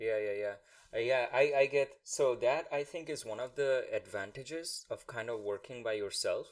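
With a Bengali accent, a man talks at a moderate pace. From India. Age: 30s. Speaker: podcast host. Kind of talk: scripted narration; interview conversation. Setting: video call.

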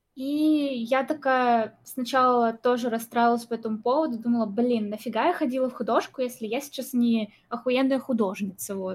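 Hardly pausing, a woman speaks at a moderate pace in a high pitch with fairly even intonation. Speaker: guest, blogger and singer.

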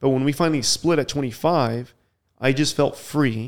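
A man speaks at a medium pitch with fairly even intonation on a very clean recording with a silent background. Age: 30s. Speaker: web series host and YouTuber. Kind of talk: casual chat. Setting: podcast recorded in Colombia.

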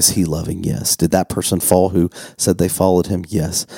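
At a moderate pace, a man speaks in a very deep, low voice with fairly even intonation, the sound dry and close with no echo. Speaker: pastor. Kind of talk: casual chat.

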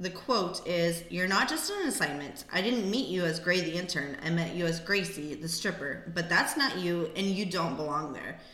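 The speech moves at a moderate pace with ordinary pitch variation, against noticeable background noise and audible room echo. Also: woman. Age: 30s. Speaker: podcast co-host, former stripper and bartender. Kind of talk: casual chat.

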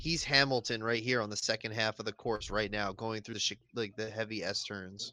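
With a bright, sharp tone, a man talks at a fairly quick pace. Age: 30s. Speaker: podcast co-host. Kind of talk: casual chat.

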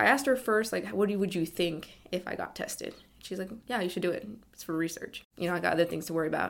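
On a very clean recording with a silent background, a woman with an American accent speaks very fast at a fairly low pitch, with vocal fry and lively intonation. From California, East Bay. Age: 20s. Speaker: interviewee, family member of a patient. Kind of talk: personal interview testimony. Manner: halting, with fillers and repeats.

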